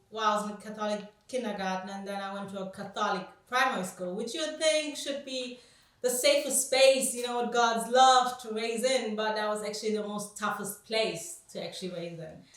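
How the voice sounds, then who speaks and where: A woman with a German accent and a fairly high pitch, at a moderate pace with ordinary pitch variation and big swings in loudness, amid noticeable background noise and audible room echo. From Germany. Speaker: anti-racism activist. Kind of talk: interview. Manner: halting.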